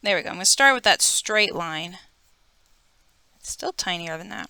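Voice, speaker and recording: A woman speaks quietly at a medium pitch and moderate pace, her tone bright and sharp. Her loudness swings a lot, and the sound is dry and close with no echo. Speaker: art teacher. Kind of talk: drawing tutorial. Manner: quieter while focusing on detail.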